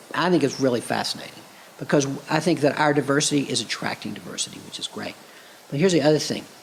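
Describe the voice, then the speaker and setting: Amid noticeable background noise, a man speaks very fast at a fairly high pitch with ordinary pitch variation. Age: 60s. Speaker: city mayor. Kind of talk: interview conversation.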